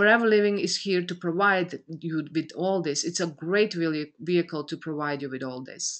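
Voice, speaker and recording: This speaker has a Croatian accent and a moderate pace. Pitch variation is ordinary, and the background is quiet. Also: woman. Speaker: business coach. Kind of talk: motivational webinar talk. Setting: online conference call. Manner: halting.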